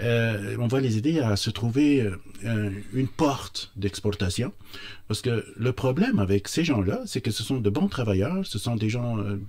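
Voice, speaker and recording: A man speaks at a fairly slow pace in a somewhat breathy, fairly low voice. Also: ordinary pitch variation. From Tunisia, Tozer. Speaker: entrepreneur. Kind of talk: radio interview. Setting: studio. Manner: halting, many hesitations.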